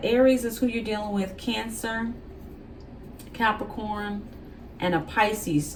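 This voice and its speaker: A woman's voice with audible room echo. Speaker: tarot reader. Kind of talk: tarot reading. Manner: casual, conversational; halting, self-described stuttering.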